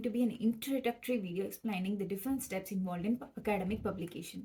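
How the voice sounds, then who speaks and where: A woman speaks with a Tamil accent in a fairly high voice. Her tone is dark and mellow, and somewhat breathy. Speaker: PhD student vlogger. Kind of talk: educational vlog.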